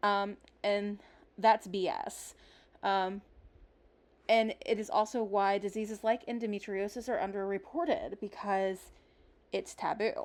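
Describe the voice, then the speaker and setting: A soft-spoken woman at medium pitch, fairly slow, with ordinary pitch variation, long, frequent pauses, and a very clean recording over a silent background. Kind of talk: casual talk to camera. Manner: quiet, soft-spoken.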